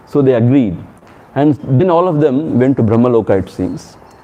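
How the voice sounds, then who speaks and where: A man's medium-pitched voice with lively intonation and a Tamil accent. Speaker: swami, spiritual teacher. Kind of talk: spiritual discourse with storytelling. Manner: conversational, animated storytelling.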